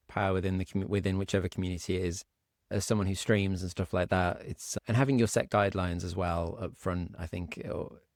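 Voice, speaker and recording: A man with a British accent talks at a very fast pace and fairly low pitch, in a dry, close sound with no echo on a very clean recording with a silent background. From Britain. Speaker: podcast host and streamer. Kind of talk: interview. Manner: halting.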